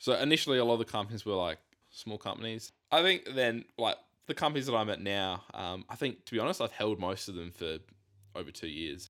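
A man with an Australian accent, a bright, sharp tone, medium pitch, and fairly quick pace, in a very clean recording with a silent background. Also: lively intonation. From South Australia (Whyalla). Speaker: investor and podcast team member. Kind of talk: casual chat.

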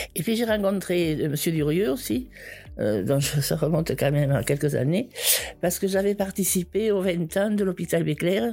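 A woman's fairly low voice with vocal fry, lively intonation, a dark, mellow tone and very even loudness. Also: moderate pace. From southern France, Ariège. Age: 70s. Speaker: organ transplant recipient and torch bearer. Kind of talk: personal testimony. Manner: halting, with many repetitions.

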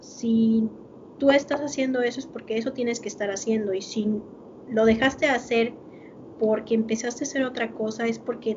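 This woman speaks with a Mexican accent at a fairly high pitch and a fairly quick pace. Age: 20s. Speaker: podcast co-host. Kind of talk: casual chat.

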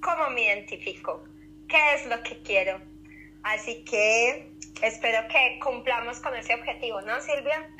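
At a fairly slow pace, a woman talks with lively intonation and a high pitch. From Colombia. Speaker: podcast co-host, social worker and yoga instructor. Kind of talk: casual educational chat.

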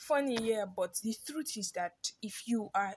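A somewhat breathy woman's voice at a medium pitch. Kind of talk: informal sermon. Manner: animated.

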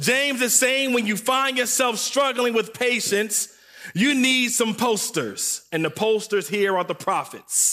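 A man with an American accent speaks in a raised, projected voice at an extremely high pitch, with a bright, sharp tone. His pace is fairly slow, his loudness very even, and his pitch varies in an ordinary way. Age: 30s. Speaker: guest preacher. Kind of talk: sermon. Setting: church service.

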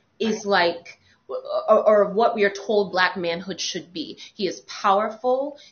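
A woman with an American accent talks at a fairly slow pace. Hers is a plain, everyday voice with ordinary pitch variation. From New York. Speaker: podcast host. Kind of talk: casual panel chat.

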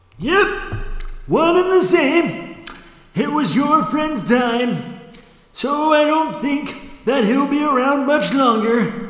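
A man uses a put-on character voice with an extremely high pitch. He talks at a very slow pace, with a clear echo. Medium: audio drama. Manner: folksy, chatty.

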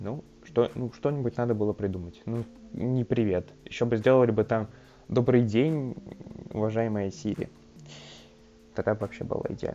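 With a dark, mellow tone, a man talks at a moderate pace and medium pitch, using ordinary pitch variation and long, frequent pauses. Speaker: tech podcaster. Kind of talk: casual review monologue. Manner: hesitant, filler-heavy.

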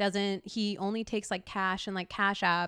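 The speaker is a woman. Her recording is very clean, with a silent background. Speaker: professional distance runner. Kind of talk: casual chat. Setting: in-person on a couch in a living room.

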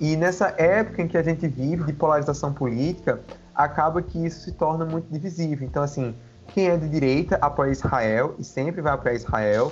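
Here a man talks at a fairly quick pace in a fairly high pitch. His voice is somewhat breathy, with ordinary pitch variation. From Brazil, Paraíba (Campina Grande). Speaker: political science researcher. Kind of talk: interview on religion and international politics.

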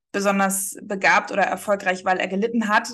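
Against a quiet background, a woman with an unremarkable speaking voice talks at a fairly quick pace. Her intonation stays fairly even. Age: 20s. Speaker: marketing agency founder. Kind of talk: casual interview.

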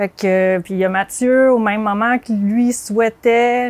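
This woman talks with a Quebec accent at a fairly high pitch, her intonation fairly even. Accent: Québécois French. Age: 30s. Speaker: advertising art director. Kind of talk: casual chat. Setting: outdoors.

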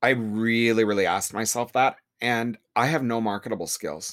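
The recording is very clean with a silent background, as a man of medium pitch talks at a moderate pace in an unremarkable speaking voice. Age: 50s. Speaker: salon owner and hairdresser. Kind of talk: casual interview.

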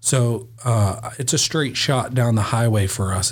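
A man's somewhat breathy voice holds a medium pitch and fairly even intonation. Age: 40s. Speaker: podcast host, garage door company owner. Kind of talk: podcast interview. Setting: studio.

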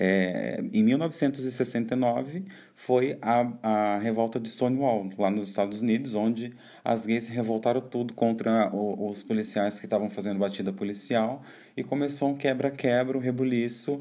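Speaking at a fairly slow pace, a man has a medium pitch, a dark, mellow tone and ordinary pitch variation. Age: 20s. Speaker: podcast host. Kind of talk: solo podcast monologue. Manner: casual, chatty.

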